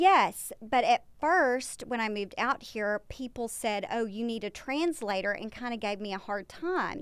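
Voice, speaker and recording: In a Texan accent, a woman speaks at a high pitch and a fairly slow pace with lively intonation and hardly any pauses. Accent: Texas Southern accent, still noticeable. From East Texas. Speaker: publicist. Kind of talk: casual chat.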